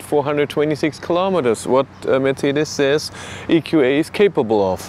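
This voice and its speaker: A man speaks with ordinary pitch variation. Light background noise is present, and the sound is dry with no echo. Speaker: EV reviewer. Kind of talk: casual vlog chat. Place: street. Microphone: phone near.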